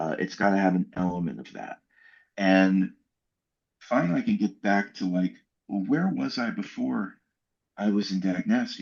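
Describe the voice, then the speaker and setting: A man with an American accent at a moderate pace, with long, frequent pauses over a quiet background. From Maryland suburb of DC. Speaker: punk singer. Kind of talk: casual chat.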